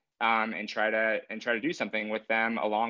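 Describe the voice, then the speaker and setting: This is a man with an ordinary speaking voice. He talks fairly quickly at a fairly low pitch. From US, San Francisco Bay Area (Benicia, East Bay). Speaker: screenwriter. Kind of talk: interview.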